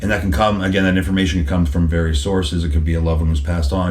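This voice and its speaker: A man's very deep, low voice at a very fast pace, with noticeable background noise and audible room echo. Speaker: psychic medium. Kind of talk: interview answer. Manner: repetitive, hesitant starts; animated.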